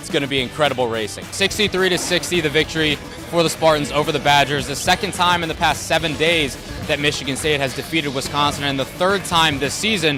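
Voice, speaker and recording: With music in the background, a man talks very fast in an upbeat, energetic tone, his fairly high pitch showing ordinary variation. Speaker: sports reporter. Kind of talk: TV sports reporter stand-up.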